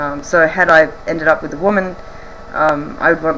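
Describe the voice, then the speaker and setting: With an Australian accent, a woman speaks at a moderate pace in a very deep, low pitch with ordinary pitch variation over noticeable background noise. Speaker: vlogger. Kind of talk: casual Q&A vlog. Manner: hesitant, many ums.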